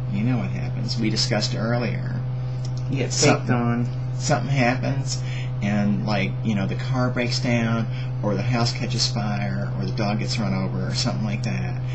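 The man talks at a moderate pace. Loud background noise runs under his voice. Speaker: vlogger. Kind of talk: casual vlog chat. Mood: playful, joking, laughing. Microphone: webcam.

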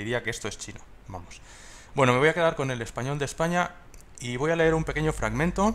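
Using lively intonation and a fairly high pitch, a man talks at a very fast pace, broken up by long, frequent pauses. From Spain. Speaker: tech tutorial creator; tutorial creator. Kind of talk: tutorial. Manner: hesitant, many fillers. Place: home room. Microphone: headset.

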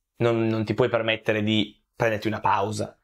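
The background stays quiet. A man speaks fairly quickly. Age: 20s. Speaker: content creator. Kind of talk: interview. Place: home room. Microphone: lapel.

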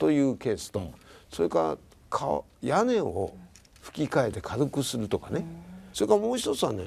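A man speaks at a fairly quick pace with vocal fry. His pitch swings very widely. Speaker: prefectural governor; guest. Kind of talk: interview talk show. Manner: measured, formal. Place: home room.

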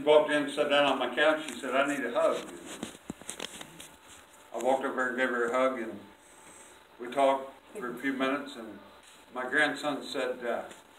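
A man speaks fairly quickly in a flat monotone. Room echo is audible, and there is light background noise. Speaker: lay preacher. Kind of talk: sermon testimony and prayer. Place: church.

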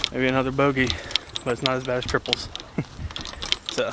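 A man races along at a very fast pace, his sound dry with no echo against loud background noise. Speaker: golf vlogger. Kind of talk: casual vlog commentary. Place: open country. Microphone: phone near.

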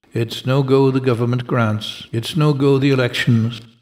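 A man talks in a normal speaking voice at a moderate pace with fairly even intonation. The recording is very clean, with a silent background. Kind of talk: poem reading. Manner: deadpan, brisk, rhythmic delivery; wry, sardonic, lightly comic.

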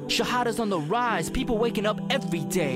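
Over music in the background, a man talks at a moderate pace in a high pitch. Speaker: spoken word poet. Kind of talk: spoken word poetry performance. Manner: powerful, motivational.

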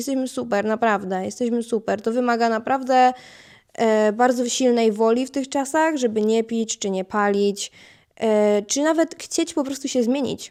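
A woman's dark, mellow tone sits at a fairly high pitch. Her pace is moderate, with ordinary pitch variation. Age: 20s. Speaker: podcast host. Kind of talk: solo monologue podcast. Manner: casual, chatty.

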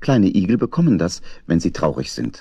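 A man's low voice at a moderate pace

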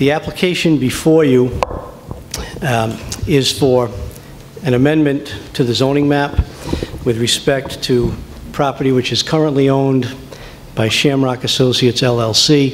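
A man at a fairly slow pace, with fairly even intonation, very even loudness, long, frequent pauses and noticeable background noise. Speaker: attorney for an applicant. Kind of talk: formal presentation to a council. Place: hall. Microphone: podium.

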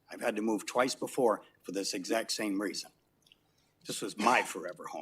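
Fairly low male voice with an American accent, at a moderate pace. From New York City. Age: 60s. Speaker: resident speaking at public comment. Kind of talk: public comment at council meeting. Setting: city council chamber.

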